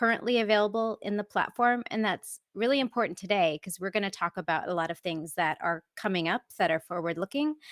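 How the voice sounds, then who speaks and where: A woman with an American accent talks at a fairly quick pace in an unremarkable speaking voice, medium in pitch, on a very clean recording with a silent background and a dry, close sound with no echo. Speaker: software architect and tech evangelist. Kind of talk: conference talk.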